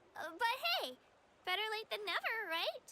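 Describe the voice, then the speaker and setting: Squeaky and extremely high in pitch, the put-on character voice runs at a moderate pace. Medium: video game. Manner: friendly, upbeat.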